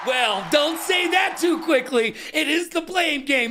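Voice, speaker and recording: Shouting at an extremely high pitch, a man goes at a fairly slow pace. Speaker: esports show host. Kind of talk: comedic esports talk show. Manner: sarcastic-sounding delivery; animated.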